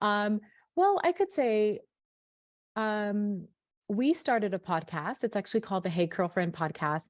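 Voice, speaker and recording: At a moderate pace, a woman with a slight Sacramento accent speaks with ordinary pitch variation against a quiet background. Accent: slight Sacramento accent, drops T's. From Sacramento, California. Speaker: hair care brand founder. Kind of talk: podcast interview. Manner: clear, eloquent.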